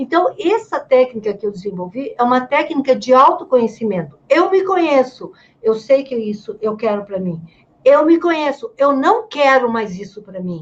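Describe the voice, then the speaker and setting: Big swings in loudness and very wide pitch swings mark this woman's high voice. Her pace is moderate. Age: 70s. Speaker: writer and gerontologist. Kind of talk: casual interview chat.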